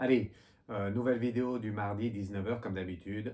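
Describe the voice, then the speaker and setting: Moving at a very fast pace, the voice carries a dark, mellow tone. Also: man. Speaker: psychic medium doing card readings. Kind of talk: casual video monologue to viewers. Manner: halting, repetitive with fillers.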